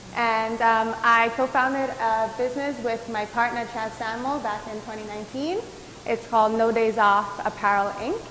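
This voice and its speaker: Against noticeable background noise, a woman with a fairly high pitch speaks at a moderate pace with fairly even intonation. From Antigua. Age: 20s. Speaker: doctoral student and entrepreneur. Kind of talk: panel discussion. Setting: virtual event.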